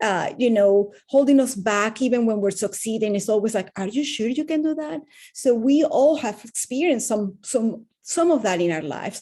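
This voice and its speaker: In a Venezuelan accent, a woman speaks at a fairly high pitch with a dark, mellow tone. Her intonation is lively, her pace moderate, and she hardly pauses at all. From Venezuela, Caracas. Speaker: wellness coach. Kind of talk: interview testimony.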